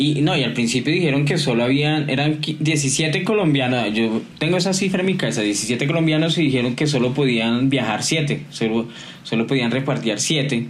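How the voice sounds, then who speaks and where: Over noticeable background noise and audible room echo, a man with a fairly high pitch talks at a moderate pace with hardly any pauses, ordinary pitch variation, and very even loudness. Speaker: podcast co-host. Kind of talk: casual chat.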